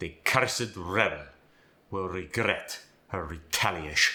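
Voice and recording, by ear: Putting on a character voice, a man speaks slowly-ish at a fairly slow pace, raspy and very deep and low.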